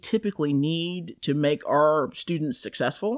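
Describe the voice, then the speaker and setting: In a plain, everyday voice, someone talks at a moderate pace with ordinary pitch variation, recorded very cleanly against a silent background with a dry, close sound and no echo. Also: woman. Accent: American. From US South, coastal North Carolina. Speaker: university band director. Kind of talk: casual interview. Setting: in-person studio.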